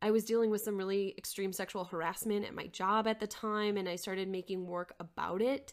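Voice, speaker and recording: A woman with a normal speaking voice at medium pitch, fairly even intonation and an American accent, on a very clean recording with a silent background. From Minnesota, Twin Cities area. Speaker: nonprofit CEO and artist. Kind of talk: casual interview conversation.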